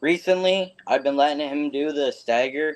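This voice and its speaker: In a Canadian accent, a man with an unremarkable speaking voice talks at a moderate pace with fairly even intonation. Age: young. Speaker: stock car racer. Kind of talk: interview answers.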